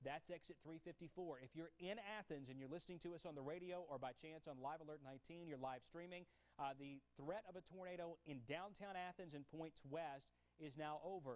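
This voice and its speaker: With ordinary pitch variation, a man speaks in a fairly high voice. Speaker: TV meteorologist. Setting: TV and radio studio broadcast. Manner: urgent, emphatic, rapid-fire, pressing listeners to take shelter; commanding yet controlled, reading radar and road names without pause. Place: studio. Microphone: lapel.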